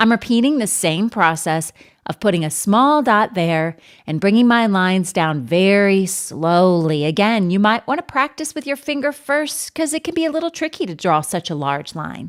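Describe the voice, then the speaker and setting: Moderate pace and very wide pitch swings in a very clean recording with a silent background. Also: woman, medium pitch for a woman. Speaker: art teacher. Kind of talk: tutorial.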